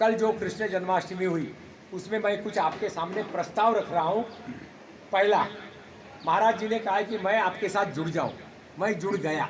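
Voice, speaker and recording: Over noticeable background noise, a man with a high pitch speaks with fairly even intonation and long, frequent pauses. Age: 70s. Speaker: retired senior government official. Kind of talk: public talk at a meeting.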